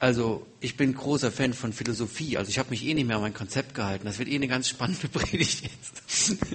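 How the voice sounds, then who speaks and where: A man talks at a fairly quick pace with hardly any pauses. Noticeable background noise runs behind him. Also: medium pitch for a man, ordinary pitch variation. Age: 40s. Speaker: guest preacher. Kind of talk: sermon.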